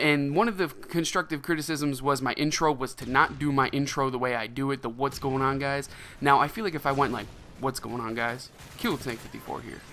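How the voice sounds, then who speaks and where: A man with an American accent speaks at a fairly high pitch and a fairly quick pace. Music plays in the background. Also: ordinary pitch variation. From United States. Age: 20s. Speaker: gaming YouTuber. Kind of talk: gameplay commentary. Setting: home recording at mic. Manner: fast; casual, off the cuff.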